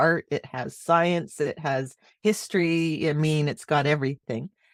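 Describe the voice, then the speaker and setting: A woman speaks with a very deep, low pitch. The recording is very clean with a silent background and a dry, close sound with no echo. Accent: Canadian. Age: 60s. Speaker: marketing consultant. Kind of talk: podcast interview.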